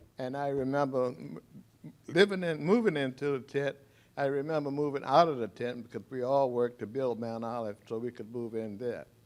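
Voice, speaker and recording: Speaking at a fairly quick pace, a man with an American accent uses a normal speaking voice at medium pitch with ordinary pitch variation. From Arlington, Virginia. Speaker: former resident sharing memories. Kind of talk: testimony.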